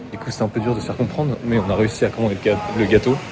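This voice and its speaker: Over noticeable background noise, a man talks at a very fast pace. His fairly low voice keeps a fairly even intonation. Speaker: travel vlogger. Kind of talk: casual vlog chat.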